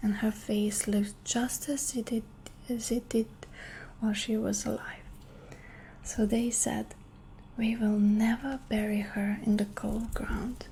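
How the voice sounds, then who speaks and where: Speaking at a fairly slow pace with long, frequent pauses, a woman uses a fairly high pitch, monotone, flat intonation and a gentle, dark, mellow tone that is somewhat breathy. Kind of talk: ASMR bedtime story reading. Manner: soft, slow, gentle.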